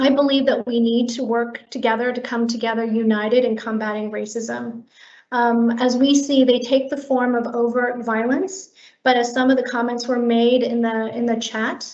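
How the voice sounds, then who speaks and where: With a General American accent, a woman speaks at a high pitch in a monotone, flat intonation. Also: moderate pace. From US West Coast, Korean immigrant community. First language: Korean. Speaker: public health HR director. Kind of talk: prepared remarks at online staff meeting.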